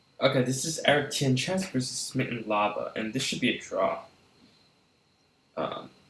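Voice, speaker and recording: The speech moves at a moderate pace with long, frequent pauses. Audible room echo surrounds it. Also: man. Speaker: chess streamer. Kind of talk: live commentary. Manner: quiet; animated.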